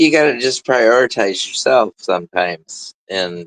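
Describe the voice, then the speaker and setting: At a fairly slow pace, a man speaks in an ordinary speaking voice with ordinary pitch variation and a dry, close sound with no echo. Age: 60s. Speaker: guest. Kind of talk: casual chat.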